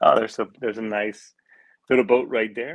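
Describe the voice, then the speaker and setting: A man speaks at a medium pitch. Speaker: podcast host. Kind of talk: casual chat. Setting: hotel room. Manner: talking quietly; less animated than usual.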